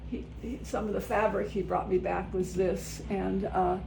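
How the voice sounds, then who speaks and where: Audible room echo around a woman's fairly slow speech. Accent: American. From US South, West Virginia coal country. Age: 80s+. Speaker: artist. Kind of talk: casual studio tour. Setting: home art studio. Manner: halting, many fillers.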